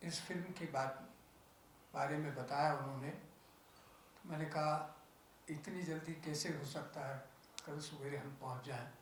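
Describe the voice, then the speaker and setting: Audible room echo and noticeable background noise surround a man with a fairly high pitch. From Punjab (Lahore area). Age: 80s+. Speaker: interfaith organization president. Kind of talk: press conference speech.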